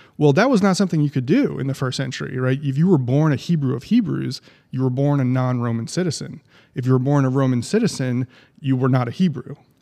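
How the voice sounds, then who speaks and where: With an American accent, a man speaks at a very fast pace in a medium pitch with ordinary pitch variation and a dark, mellow tone. The background is quiet. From New Jersey, US. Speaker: pastor and ministry executive. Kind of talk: podcast interview. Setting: studio.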